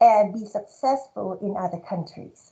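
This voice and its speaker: With a Thai accent, a woman's dark, mellow tone moves through very wide pitch swings. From Thailand (Bangkok). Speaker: marketing professor. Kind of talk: award speech.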